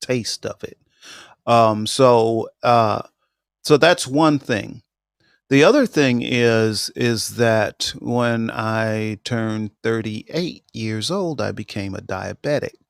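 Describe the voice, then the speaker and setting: At a very slow pace with ordinary pitch variation, the voice has a dry, close sound with no echo on a very clean recording with a silent background. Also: man, medium pitch for a man. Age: 60s. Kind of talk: casual chat. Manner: halting, many fillers.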